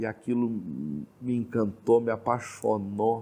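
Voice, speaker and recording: A man at a medium pitch. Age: 40s. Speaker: Umbanda practitioner. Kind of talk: interview testimony.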